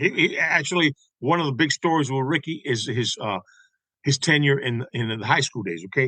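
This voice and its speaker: Using lively intonation, a man with an American accent speaks at a fairly quick pace with a fairly high pitch and a bright, sharp tone, the sound dry and close with no echo. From Tampa, Florida (West Tampa). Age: 60s. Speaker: songwriter and baseball historian. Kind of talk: casual interview chat.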